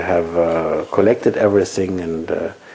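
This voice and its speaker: Over noticeable background noise, a man speaks with a German accent. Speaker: physics professor. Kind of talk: interview. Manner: halting.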